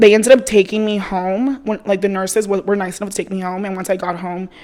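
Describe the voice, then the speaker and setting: A woman's very fast speech in a Spanish accent, dark and mellow in tone, with fairly even intonation and big swings in loudness. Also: medium pitch for a woman. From Mexico, raised in US from age 3-4. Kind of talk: interview.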